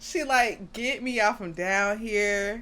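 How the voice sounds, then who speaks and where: An animated woman at a medium pitch, in a very clean recording against a silent background. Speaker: anime reaction youtuber. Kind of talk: reaction commentary. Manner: loud.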